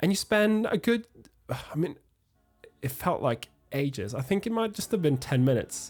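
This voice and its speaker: A man with a Norwegian accent at a fairly high pitch and a moderate pace, with very wide pitch swings and long, frequent pauses. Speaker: music arranging educator. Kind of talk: tutorial. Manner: hesitant, with fillers.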